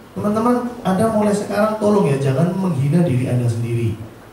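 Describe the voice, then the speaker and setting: An animated tone moves through very wide pitch swings at a fairly quick pace, with audible room echo and noticeable background noise. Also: man. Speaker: motivational speaker at insurance agent seminar. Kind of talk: motivational seminar talk. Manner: animated, audience-engaging; fluent on familiar topic.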